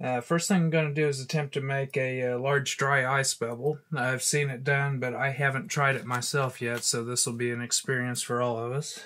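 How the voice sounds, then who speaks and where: With a Southern US accent, the voice has a tired tone and a bright, sharp tone, keeping a moderate pace and fairly even intonation. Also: man, medium pitch for a man. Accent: Southern US rural. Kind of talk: casual talk to camera. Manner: tired, low-energy.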